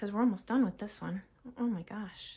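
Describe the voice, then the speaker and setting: A woman's somewhat breathy voice moves at a fairly quick pace, pitched fairly high with fairly even intonation. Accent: Massachusetts. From Massachusetts, US. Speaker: crafting demonstrator. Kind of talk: live crafting tutorial. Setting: live stream.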